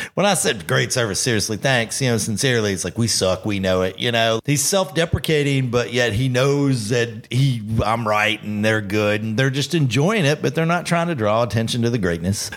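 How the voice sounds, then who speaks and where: In an ordinary speaking voice, a man talks at a fairly quick pace and medium pitch with lively intonation, very even loudness and hardly any pauses. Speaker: bartending podcast host. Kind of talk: casual chat.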